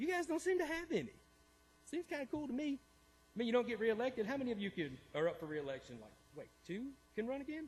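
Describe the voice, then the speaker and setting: A man with an American accent speaks loudly at an extremely high pitch and a very fast pace. His pitch swings very widely, broken by long, frequent pauses. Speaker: public commenter, 911 dispatcher. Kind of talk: public comment at city council. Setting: city council meeting.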